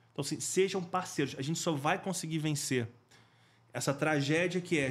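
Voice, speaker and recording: On a very clean recording with a silent background, a man speaks quickly, at a fairly quick pace, in a plain, everyday voice, fairly high in pitch with fairly even intonation. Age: 40s. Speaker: school safety specialist, former firefighter. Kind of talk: interview conversation.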